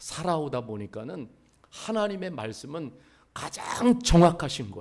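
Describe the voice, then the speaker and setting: A man is speaking. His pace is very slow. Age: 60s. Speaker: pastor. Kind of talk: sermon. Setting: church.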